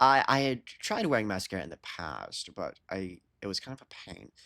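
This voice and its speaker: The speaker is a man. His voice carries vocal fry. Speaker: streamer. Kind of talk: casual live stream chat. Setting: live stream with headset. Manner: stuttering, halting; loud, yelling.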